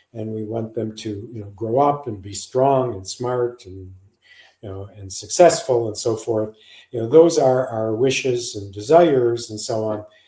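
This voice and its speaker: A man with an American accent speaks at a fairly slow pace, his loudness swinging widely. His somewhat breathy voice has a dark, mellow tone in a very clean recording with a silent background. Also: medium pitch for a man, ordinary pitch variation. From US. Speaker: psychologist, parenting author. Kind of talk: podcast interview.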